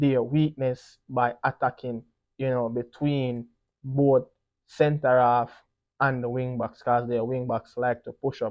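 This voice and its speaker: With a Jamaican accent, a man speaks fairly slowly at medium pitch in a monotone, flat intonation. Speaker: football pundit. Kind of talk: solo sports preview commentary. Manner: casual, frequent 'you know' fillers.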